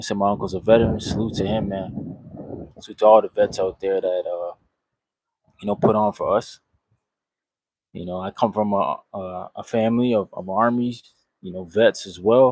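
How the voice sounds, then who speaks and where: A man with a fairly low pitch speaks with big swings in loudness and fairly even intonation, pausing long and often, in a dry, close recording with no echo. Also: moderate pace. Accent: American. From Canada, Toronto. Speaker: boxing livestreamer. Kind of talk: casual live stream chat. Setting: outdoors on vacation. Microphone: sound issues away from studio.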